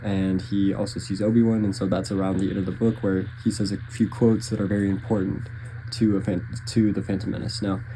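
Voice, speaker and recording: Somewhat breathy and dark, mellow in tone, a man speaks at a fairly quick pace and a fairly low pitch with monotone, flat intonation. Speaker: book reviewer. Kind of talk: casual monologue. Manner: hesitant, many fillers.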